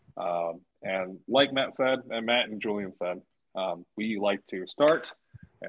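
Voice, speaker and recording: A man with an American accent speaks at a medium pitch with ordinary variation. His pace is very slow. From Northern California. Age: 20s. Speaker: podcast co-host, jailer. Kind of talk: casual chat while drinking beer.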